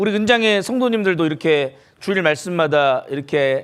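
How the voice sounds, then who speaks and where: A man talks with an ordinary speaking voice. His intonation is lively and his pace moderate. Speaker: pastor. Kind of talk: sermon.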